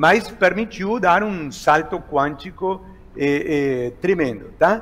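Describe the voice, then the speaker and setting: A man speaks in a high voice with lively intonation. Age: 60s. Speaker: economist. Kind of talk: interview. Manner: halting, many fillers.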